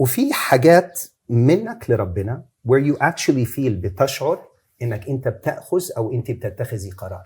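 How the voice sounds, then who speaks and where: A man's somewhat breathy voice moves with lively intonation. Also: medium pitch for a man. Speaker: Islamic preacher. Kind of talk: interview answer.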